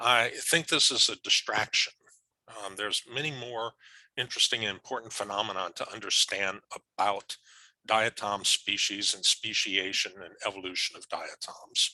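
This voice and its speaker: A man's bright, sharp tone with big swings in loudness, in a dry, close sound with no echo. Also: fairly low pitch for a man, ordinary pitch variation, moderate pace. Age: 60s. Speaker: professor. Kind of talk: lecture. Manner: halting.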